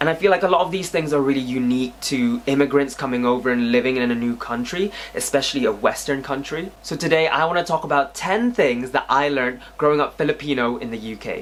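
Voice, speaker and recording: In a British accent, the speech races at a very fast pace with hardly any pauses over noticeable background noise. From UK, born in the Philippines. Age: 20s. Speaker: YouTuber. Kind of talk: casual vlog monologue.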